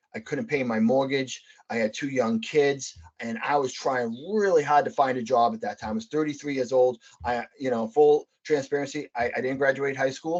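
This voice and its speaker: This speaker talks at a fairly quick pace in a Boston accent. Pitch varies in an ordinary way. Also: man. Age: 40s. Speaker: real estate investor, Air Force veteran. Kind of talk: podcast interview. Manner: animated.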